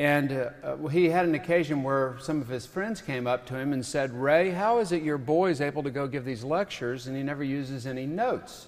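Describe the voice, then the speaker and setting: A man's fairly high voice at a fairly quick pace, with ordinary pitch variation and hardly any pauses. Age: 50s. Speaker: author and lecturer; lecturer. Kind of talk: lecture. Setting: stage with audience. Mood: humorous storytelling. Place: stage. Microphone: podium.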